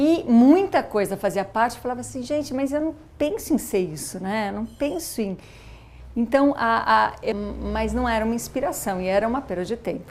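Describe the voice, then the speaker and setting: Lively in her intonation, a woman speaks at a moderate pace. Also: fairly high pitch for a woman. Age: 40s. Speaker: former professional dancer and mother. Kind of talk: documentary interview. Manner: halting, many false starts.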